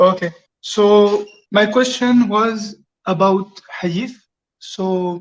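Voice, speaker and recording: A woman speaks at a medium pitch. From France. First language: French. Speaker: caller. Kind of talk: asking a question on a live call-in. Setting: phone call. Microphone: echo on phone line.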